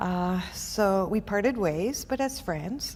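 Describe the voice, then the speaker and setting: A woman speaks with a dark, mellow tone. Her pitch is fairly high. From Quebec City, Canada. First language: French. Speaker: entrepreneur. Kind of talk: interview. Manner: halting.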